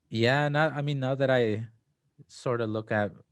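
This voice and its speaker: Someone with a Spanish accent speaks at a fairly slow pace, with ordinary pitch variation. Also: man. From Mexico. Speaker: DACA recipient. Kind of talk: casual interview.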